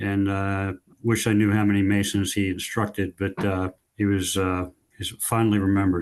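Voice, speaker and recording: A man with a fairly low pitch talks at a moderate pace in a monotone, flat intonation against a quiet background. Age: 60s. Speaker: Masonic catechism instructor. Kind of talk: podcast interview. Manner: hesitant, many fillers.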